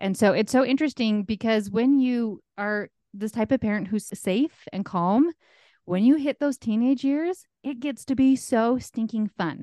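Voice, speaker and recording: At a fairly slow pace, a woman with an ordinary speaking voice talks with lively intonation and a fairly high pitch, recorded dry and close with no echo against a quiet background. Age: 40s. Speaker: life coach. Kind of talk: interview.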